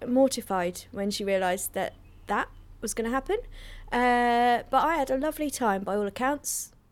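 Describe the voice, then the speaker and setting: In a London accent, a woman speaks with a high pitch and ordinary pitch variation. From North London. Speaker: comedian. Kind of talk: casual interview. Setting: remote call. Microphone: better microphone than host.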